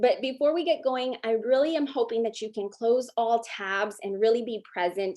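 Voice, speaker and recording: Set against a quiet background, a woman with a fairly high pitch speaks at a moderate pace in an animated tone with ordinary pitch variation. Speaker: social worker. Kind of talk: webinar presentation.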